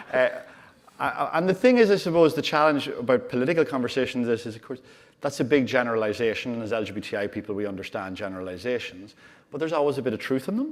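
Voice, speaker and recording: A man with an Irish accent talks at a very fast pace and medium pitch. His intonation is lively, and his loudness swings widely. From Ireland. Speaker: LGBT rights campaign director. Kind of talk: panel interview.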